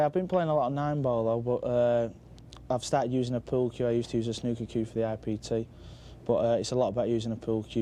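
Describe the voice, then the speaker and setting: With a Mancunian accent, a man speaks at a fairly quick pace in a dark, mellow tone with fairly even intonation. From northern England, Manchester. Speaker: pool player. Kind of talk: post-match style interview.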